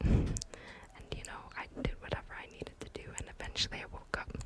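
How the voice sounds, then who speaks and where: A whisper at a moderate pace comes through noticeable background noise. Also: woman. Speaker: ASMR creator. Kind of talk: personal ghost story told in whisper. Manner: casual, conversational, mostly whispered.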